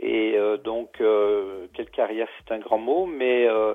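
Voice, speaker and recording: A man's voice at a medium pitch. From France, Loire (Pilat near Saint-Étienne). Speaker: novelist and retired sawmill instructor. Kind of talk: interview. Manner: hesitant, many fillers.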